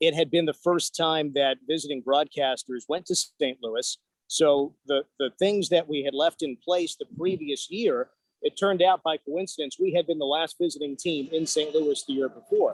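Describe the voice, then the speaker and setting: An ordinary speaking voice from a man with an American accent, fairly high in pitch, at a moderate pace with fairly even intonation, in a dry, close sound with no echo. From northern New Jersey. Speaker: hockey radio play-by-play announcer. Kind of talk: casual interview.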